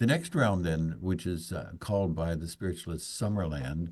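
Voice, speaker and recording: A man speaks at a moderate pace in a very deep, low voice. His intonation stays fairly even. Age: 70s. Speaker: afterlife researcher, nonprofit president. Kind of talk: podcast interview. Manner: halting, with repetitions and fillers.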